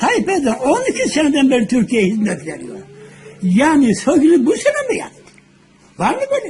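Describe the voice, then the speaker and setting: A man talks at a moderate speed while noticeable background noise carries on. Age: 80s+. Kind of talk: casual conversation filmed at home.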